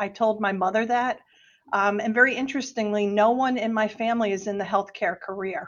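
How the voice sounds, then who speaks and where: Against a quiet background, a woman with a New Jersey accent talks fairly quickly, her fairly high voice keeping a fairly even intonation. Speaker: hospital executive. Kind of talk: casual interview.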